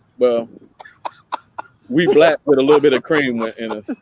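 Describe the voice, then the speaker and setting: Here a man speaks with a slight Tennessee accent and a fairly high pitch. His pitch varies in an ordinary way, and the sound is dry and close with no echo. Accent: slight Tennessee twang. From East Tennessee. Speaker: podcast co-host and web designer. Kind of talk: casual chat. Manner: frequent fillers and hesitations.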